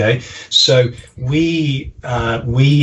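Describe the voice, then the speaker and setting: Noticeable background noise sits behind a man who has an American accent. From English Midlands, Staffordshire (the Potteries). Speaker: marketing consultant. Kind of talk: podcast interview. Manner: hesitant, many fillers.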